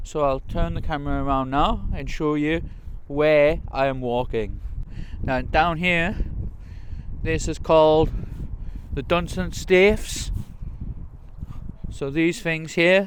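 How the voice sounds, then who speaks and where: In a Geordie accent, a man speaks very slowly with long, frequent pauses, a fairly high pitch and ordinary pitch variation. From north-east England, Newcastle. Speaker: travel vlogger. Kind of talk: walking vlog tour. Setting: outdoors. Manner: casual.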